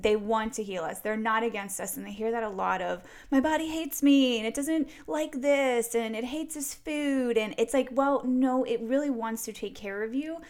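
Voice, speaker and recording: A woman with a fairly high pitch and a normal speaking voice. She talks at a moderate pace with ordinary pitch variation. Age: 30s. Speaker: fitness and faith coach for women. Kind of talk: casual interview.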